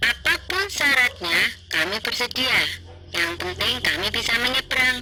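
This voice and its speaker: A put-on character voice at a fairly high pitch speaks at a fairly slow pace over clear background noise. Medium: read story.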